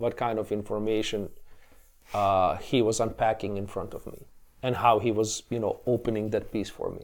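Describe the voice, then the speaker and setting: A man with a Bosnian accent, fairly low pitch, monotone, flat intonation and a moderate pace, on a very clean recording with a silent background. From Bosnia, Tuzla. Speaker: classical guitarist and educator. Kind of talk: interview. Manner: hesitant, many repetitions.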